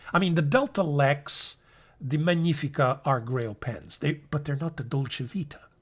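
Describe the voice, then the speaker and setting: This man's pitch is fairly high, somewhat breathy, with ordinary variation at a moderate pace. The recording is very clean, with a silent background. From Italy (Naples). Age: 60s. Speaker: fountain pen YouTuber. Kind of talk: monologue video essay. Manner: relaxed, conversational.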